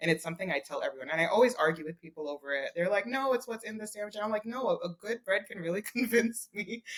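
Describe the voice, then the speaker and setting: With a New York accent, a woman races along very fast in a fairly high pitch, barely pausing, her intonation lively. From Brooklyn, New York. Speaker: food blogger. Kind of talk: podcast interview answer.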